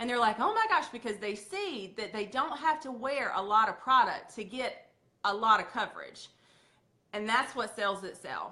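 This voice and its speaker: With a Southern accent, a woman speaks using ordinary pitch variation. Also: fairly high pitch for a woman, moderate pace. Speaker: makeup sales leader. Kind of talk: training talk. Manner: animated.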